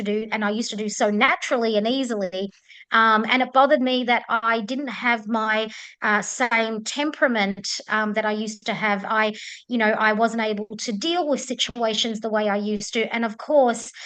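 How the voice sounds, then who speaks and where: In an Australian accent, a woman talks at a fairly quick pace with a fairly high pitch and fairly even intonation. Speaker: menopause coach. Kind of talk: webinar introduction. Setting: video call. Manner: hesitant, many filler ums.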